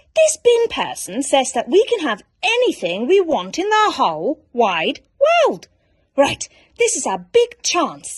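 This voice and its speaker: The speaker is a woman using a put-on character voice, pitched high. Her pace is fairly slow. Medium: read story. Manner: earnest and fussy.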